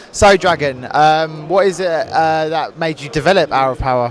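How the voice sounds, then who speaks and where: Over noticeable background noise, a man speaks in a fairly high voice. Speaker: interviewer, channel host. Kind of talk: interview questions at an exhibition.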